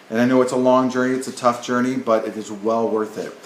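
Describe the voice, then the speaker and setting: A man with a Canadian accent talks at a fairly quick pace and medium pitch. Noticeable background noise and audible room echo fill the recording. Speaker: nursing professor. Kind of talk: lecture. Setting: recorded video at home or office. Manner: fast.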